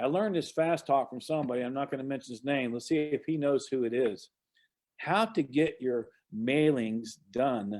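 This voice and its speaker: With an ordinary speaking voice, a man talks at a moderate pace, his fairly high pitch showing ordinary pitch variation. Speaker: real estate investor and trainer. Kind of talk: online presentation. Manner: casual.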